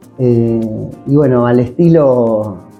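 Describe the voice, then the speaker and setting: A man talks with fairly even intonation while music plays in the background. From Argentina. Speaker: voice actor. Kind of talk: interview answer.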